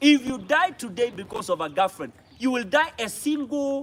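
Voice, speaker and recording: An animated man's voice amid noticeable background noise. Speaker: pastor. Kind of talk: motivational talk to students. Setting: school hall with student audience.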